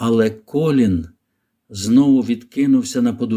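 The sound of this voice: Over a silent backdrop comes an unforced reading voice.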